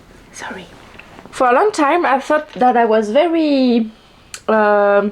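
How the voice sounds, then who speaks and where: A woman talks at a fairly slow pace. She speaks in a strong French accent. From France. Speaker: vlogger and writer. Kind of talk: casual chat. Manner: halting, many fillers and restarts.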